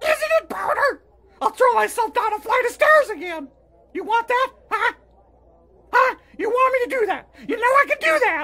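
A man does a cartoonish character voice, raspy and extremely high-pitched. He moves at a moderate pace with long, frequent pauses. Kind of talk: crude puppet comedy. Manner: loud, melodramatic, whiny. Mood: whiny, melodramatic threatening.

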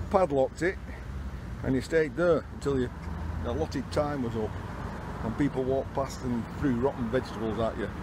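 A man's fairly quick, lively-intoned speech, dry with no echo, over noticeable background noise. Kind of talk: casual tour commentary. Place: street. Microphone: phone near.

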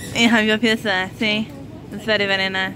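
Noticeable background noise accompanies a woman talking at a moderate pace, the sound dry with no echo. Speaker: vlogger. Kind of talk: casual vlog chat. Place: shop.

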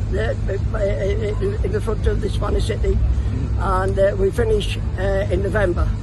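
A man's moderate-paced speech competes with noticeable background noise. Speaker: travelling fair showman. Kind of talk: interview answer. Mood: warm, reminiscing. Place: open country.

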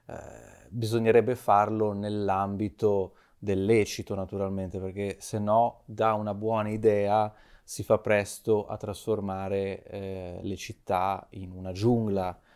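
Very slowly and in a flat monotone, a man with a fairly low pitch speaks with big swings in loudness over a quiet background. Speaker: media director and commentator. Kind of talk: talk show commentary. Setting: studio. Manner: halting. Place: studio. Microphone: lapel.

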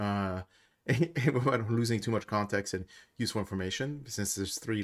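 Over a quiet background, a man in an ordinary speaking voice talks at a moderate pace and fairly low pitch, with ordinary pitch variation. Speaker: tabletop game content creator. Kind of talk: casual commentary.

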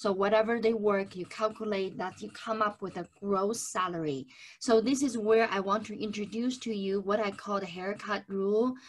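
Woman at a moderate pace, hardly any pauses, fairly even intonation. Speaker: presenter. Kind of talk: webinar lecture. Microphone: webcam.

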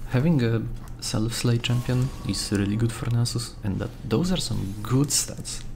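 A man talks at a moderate pace with hardly any pauses, in an unremarkable speaking voice. His pitch is medium, with ordinary variation. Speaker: gaming YouTuber. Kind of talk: gameplay commentary. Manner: casual, relaxed.

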